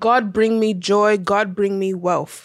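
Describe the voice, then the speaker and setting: With fairly even intonation, the delivery comes at a fairly slow pace in a normal speaking voice. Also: woman. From US, Nigerian-American family. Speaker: podcast co-host. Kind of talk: casual chat. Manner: laughs often.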